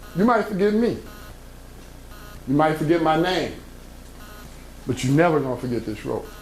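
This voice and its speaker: A man talks at a fairly quick pace. Noticeable background noise and audible room echo surround his voice. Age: 60s. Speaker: motivational speaker. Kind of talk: motivational talk to young people. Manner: animated.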